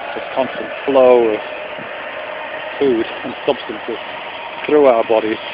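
A man talks at a fairly quick pace with fairly even intonation. The sound is dry with no echo, and there is noticeable background noise. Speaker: vlogger. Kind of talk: reflective philosophical monologue. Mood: calm, thoughtful. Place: open country. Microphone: phone near.

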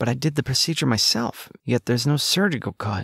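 An unremarkable speaking voice moves at a moderate pace with ordinary pitch variation, recorded very cleanly against a silent background in a dry, close sound with no echo. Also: man. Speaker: audiobook narrator. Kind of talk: dramatic first-person fiction narration, read aloud with suspense.

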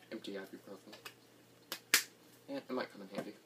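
The background noise is loud. Through it, a man talks at a moderate pace. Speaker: vlogger. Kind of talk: casual vlog chat. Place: home room. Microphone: camera far.

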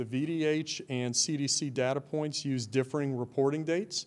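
With fairly even intonation, a man talks at a moderate pace in a fairly high pitch. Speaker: school district chief operations officer. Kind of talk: formal briefing at board meeting. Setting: public meeting hall. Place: hall. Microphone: podium.

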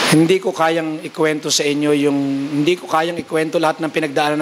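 A man at a fairly high pitch and a very fast pace, with light background noise. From Philippines. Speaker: preacher. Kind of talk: revival sermon. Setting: church conference with audience. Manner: animated, exhortative preaching; mixes humor with urgent calls to faith, Taglish. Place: church. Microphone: handheld.

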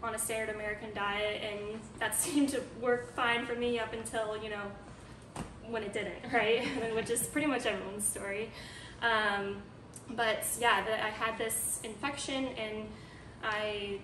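With noticeable background noise, a woman speaks at a moderate pace in a flat monotone, leaving long, frequent pauses. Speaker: guest. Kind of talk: interview answer. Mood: calm, light laughs. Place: home room. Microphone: camera far.

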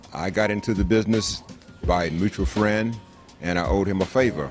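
Over clear background music, a man talks at a fairly quick pace with ordinary pitch variation. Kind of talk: interview answer. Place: cafe. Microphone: handheld.

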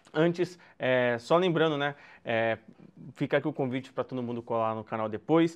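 A man's moderately paced speech carries ordinary pitch variation against a quiet background. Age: 20s. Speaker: journalist and rap channel presenter; course instructor, journalist. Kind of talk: online lecture. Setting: home, video call. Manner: halting, with many fillers. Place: home room.

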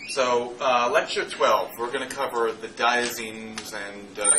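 A man is speaking. Background noise is noticeable. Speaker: chemistry lecturer. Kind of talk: lecture. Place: classroom.

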